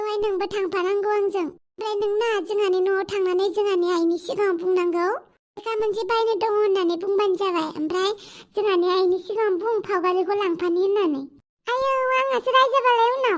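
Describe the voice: In a cartoonish character voice, a woman speaks at a fairly slow pace with an extremely high pitch.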